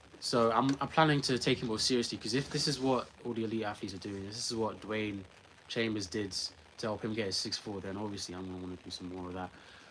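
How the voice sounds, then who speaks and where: A very fast man with a London accent, fairly low in pitch, with ordinary pitch variation over noticeable background noise. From England. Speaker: sprinter vlogger. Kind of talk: casual vlog talk.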